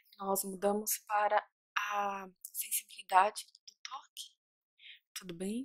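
Very slowly and with long, frequent pauses, a woman with a medium pitch speaks in a calm tone and flat monotone, her loudness swinging widely over a quiet background. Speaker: ASMR roleplay doctor. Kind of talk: asmr roleplay. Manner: slow, calm, reassuring. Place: home room. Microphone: studio mic.

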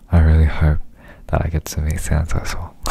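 A man whispering at a moderate pace. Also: dry sound with no echo. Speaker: pop idol doing ASMR. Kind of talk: ASMR radio-style talk. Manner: whispered. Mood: calm, smiling. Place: home room. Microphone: studio mic.

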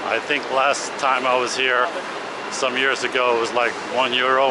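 A man at a moderate pace, dry sound with no echo, noticeable background noise behind him. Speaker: travel vlogger. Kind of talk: casual vlog walking tour commentary. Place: station. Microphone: phone near.

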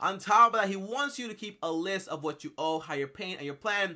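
A man's bright, sharp tone at a fairly quick pace against a quiet background. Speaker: YouTube book reviewer. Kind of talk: casual, enthusiastic. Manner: fast talker when excited. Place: home room.

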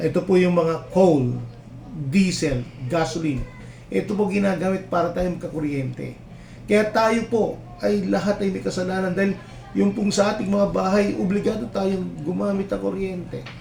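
A man's high-pitched voice with ordinary pitch variation, audible room echo and music in the background. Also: moderate pace. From Philippines, Nueva Ecija. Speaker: engineer, climate change consultant. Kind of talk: interview. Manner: halting, many fillers.

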